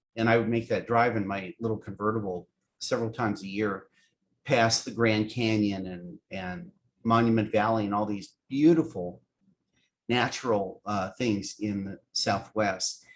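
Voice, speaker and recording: With a General American accent, a man speaks in a plain, everyday voice, fairly low in pitch with ordinary pitch variation and a moderate pace. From US West Coast, San Francisco. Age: 60s. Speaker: animation writer and producer. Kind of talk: casual interview chat.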